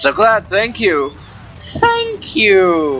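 Over clear background noise, a female-sounding voice performs a put-on character voice. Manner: glad, grateful.

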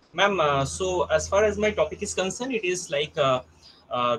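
Lively intonation carries the speech over light background noise. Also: man. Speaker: college teacher. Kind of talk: presentation. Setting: video call. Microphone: video call.

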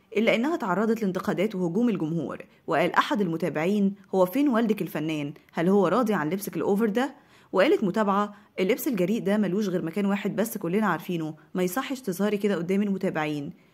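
A woman's medium-pitched voice with an Egyptian accent, at a fairly quick pace with ordinary pitch variation, on a very clean recording with a silent background. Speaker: entertainment news narrator. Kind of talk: scripted narration.

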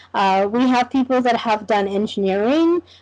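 With a Canadian accent, a woman speaks at a fairly high pitch and a moderate pace, her intonation lively. The background is quiet. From Canada. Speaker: veterinary school admissions officer. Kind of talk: online information session. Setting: video call. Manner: casual. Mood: friendly, reassuring. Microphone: video call.

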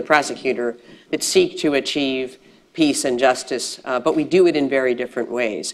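With an American accent, a woman talks at a fairly quick pace in a very deep, low voice. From United States. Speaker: international judge; international court judge on a panel. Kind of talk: panel discussion. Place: hall. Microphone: lapel.

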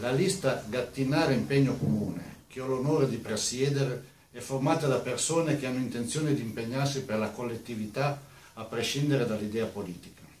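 Speaking at a fairly quick pace with a medium pitch and ordinary pitch variation, a man is heard with audible room echo and light background noise. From Piedmont, Italy (Gattinara); Piedmont. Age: 60s. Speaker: mayoral candidate; election candidate. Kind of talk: campaign statement. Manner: formal. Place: studio.

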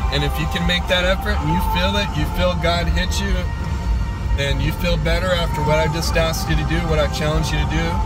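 A man at a moderate pace with ordinary pitch variation, in a dry sound with no echo, over loud music in the background. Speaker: faith vlogger. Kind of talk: casual vlog chat, exhortation. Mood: earnest, encouraging. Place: car. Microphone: phone near.

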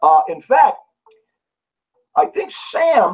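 A man talks with big pitch swings. His voice has a slightly husky edge.

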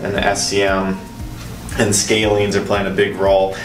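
A man talks in a flat monotone at a moderate pace, his pitch fairly low. Clear music plays behind him, and the room gives an audible echo. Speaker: chiropractor. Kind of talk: demonstration explanation. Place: office. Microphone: camera far.

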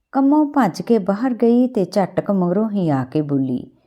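A woman's dark, mellow tone with big pitch swings, at a fairly slow pace. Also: medium pitch for a woman.

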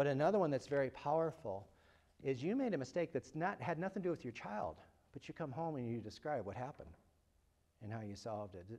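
A man with a Midwestern American accent talks at a very fast pace. His tone is dark and mellow, and his pitch swings very widely. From US Midwest. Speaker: psychology researcher and speaker; speaker. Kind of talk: lecture. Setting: lecture hall with live audience. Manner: jokey, self-deprecating. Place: classroom.

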